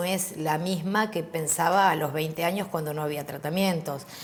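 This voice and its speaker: A woman talks at a moderate pace with fairly even intonation, her voice carrying audible room echo amid noticeable background noise. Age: 50s. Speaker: HIV activist. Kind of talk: interview.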